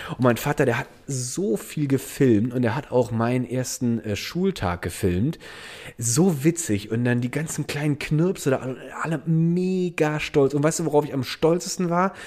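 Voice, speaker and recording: An unremarkable speaking voice, this man's fairly high pitch moves with lively intonation on a very clean recording with a silent background. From Germany, Eifel region. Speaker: podcast co-host. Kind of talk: casual chat.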